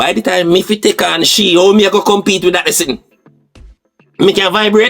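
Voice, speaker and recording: Music plays behind a man speaking with a Jamaican accent at high pitch, his loudness very even and his pauses long and frequent. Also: moderate pace. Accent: Jamaican Patois. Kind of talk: podcast commentary. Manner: passionate, animated.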